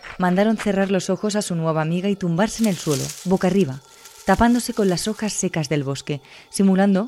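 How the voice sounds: A natural reading voice, ordinary in its pitch variation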